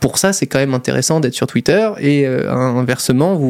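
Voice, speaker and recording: The man speaks at medium pitch. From Monaco. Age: 20s. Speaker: YouTuber and entrepreneur. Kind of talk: casual interview.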